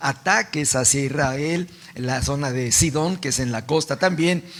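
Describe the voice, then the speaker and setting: A man's fairly high voice with ordinary pitch variation against noticeable background noise. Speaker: pastor. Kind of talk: sermon. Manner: slow; soft-spoken.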